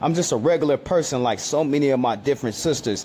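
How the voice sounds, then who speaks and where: A man's fairly high voice at a moderate pace against noticeable background noise. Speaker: street preacher. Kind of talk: sermon. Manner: halting; animated.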